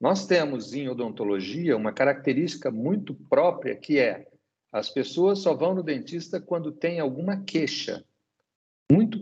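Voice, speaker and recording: A man's fairly high pitch with very wide swings and a dark, mellow tone. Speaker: dental cooperative executive. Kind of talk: interview.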